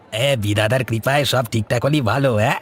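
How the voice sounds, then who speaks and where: A man uses a cartoonish character voice at a medium pitch. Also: fairly quick pace. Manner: eager, talkative.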